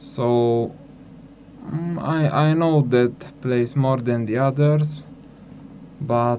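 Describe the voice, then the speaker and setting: A man with a Hungarian accent speaks at a very slow pace in a medium pitch, his fairly even intonation broken by long, frequent pauses over noticeable background noise. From Slovakia. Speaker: youth exchange participant.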